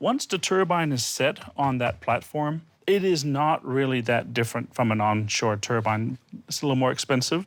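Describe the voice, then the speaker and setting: With a Danish accent, a man speaks at a moderate pace and a medium pitch with ordinary pitch variation, on a very clean recording with a silent background. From Denmark. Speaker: wind energy consultant. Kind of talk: panel discussion.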